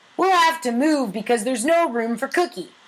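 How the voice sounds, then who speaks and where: This female-sounding, put-on character voice has a high pitch. It moves at a fairly quick pace. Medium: read story. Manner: hesitant.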